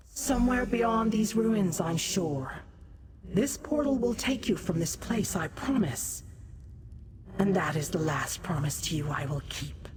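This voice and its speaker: A put-on character voice, female-sounding and medium in pitch, with clear background noise. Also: fairly slow pace. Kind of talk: sinister villain. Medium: video game. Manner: theatrical, mocking, languid.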